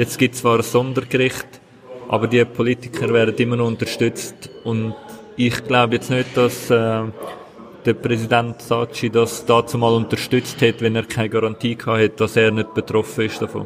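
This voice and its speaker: A man speaks at medium pitch and a moderate pace with monotone, flat intonation. Noticeable background noise can be heard. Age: 20s. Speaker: local politician. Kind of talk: interview. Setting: café at train station.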